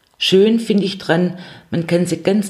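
At a fairly slow pace, a woman speaks with a Swabian accent. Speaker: psychotherapy practitioner and podcast host. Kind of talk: solo podcast monologue.

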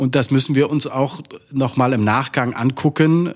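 A plain, everyday voice at a fairly slow pace, with fairly even intonation. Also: man. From Saxony-Anhalt, Saxon parents. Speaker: politician. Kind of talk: interview.

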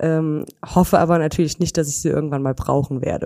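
The woman's tone is dark and mellow. She talks at a fairly quick clip. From Germany, near Koblenz (Rhineland). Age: 30s. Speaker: insurance employee. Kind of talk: interview. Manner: hesitant, many fillers.

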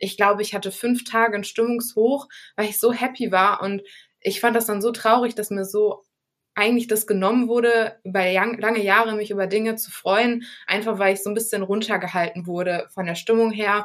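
This woman speaks with a Düsseldorf accent at a moderate pace, her fairly high voice flat and monotone. The recording is very clean, with a silent background. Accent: Rhineland German (Düsseldorf). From Düsseldorf, Germany. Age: 20s. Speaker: podcast interviewee. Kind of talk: personal testimony interview.

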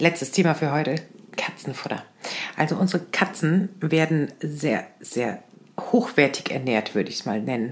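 Over noticeable background noise, a woman with a very deep, low pitch talks at a moderate pace with lively intonation. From Lower Saxony, near Hannover. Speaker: podcast co-host. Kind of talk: casual chat.

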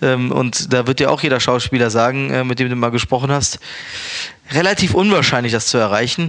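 Background noise is clearly audible as a man talks in a middle register, his pitch shifting a normal amount. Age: 30s. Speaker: chef and restaurant owner. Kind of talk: casual interview. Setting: recorded in Berlin.

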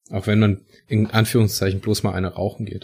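Speech comes at a fairly quick pace. There is a somewhat breathy quality to it. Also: man. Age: 30s. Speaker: podcast host. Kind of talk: casual chat.

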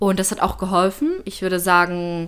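At a moderate pace, a woman talks with medium pitch in an ordinary speaking voice. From Germany, Leipzig. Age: 20s. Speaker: university student. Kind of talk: personal testimony.

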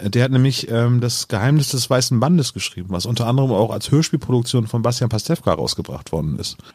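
At a very fast pace and with hardly any pauses, a man speaks at medium pitch. His voice is somewhat breathy, with ordinary pitch variation. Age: 40s. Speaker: podcaster guest. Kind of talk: casual chat.

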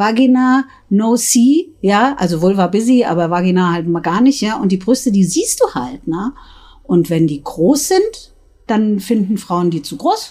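A woman with a fairly high, somewhat breathy voice talks at a fairly slow pace, with very wide pitch swings. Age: 50s. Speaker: sex shop owner. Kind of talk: casual chat. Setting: in a shop.

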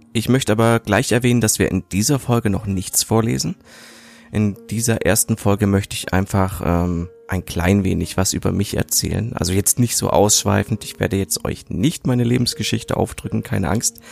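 Recorded with a dry, close sound and no echo, a man with a fairly low pitch speaks at a moderate pace with ordinary pitch variation. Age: 30s. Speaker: podcaster, media designer. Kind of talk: casual monologue. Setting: home recording. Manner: hesitant, many fillers.

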